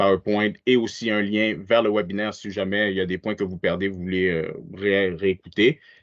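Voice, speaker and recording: At a fairly slow pace, a man talks in an ordinary speaking voice with fairly even intonation. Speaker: webinar presenter. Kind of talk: webinar presentation.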